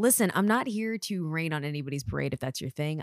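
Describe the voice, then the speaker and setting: With an American accent, a woman talks very fast in a very deep, low pitch, her animated tone ranging through very wide pitch swings in a very clean, dry, close recording with a silent background and no echo. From US, Eritrean family. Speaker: podcast host, makeup artist. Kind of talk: podcast intro monologue.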